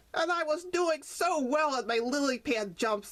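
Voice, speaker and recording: Using a put-on character voice, a woman speaks at a high pitch. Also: moderate pace. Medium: read story. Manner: grumbling, complaining.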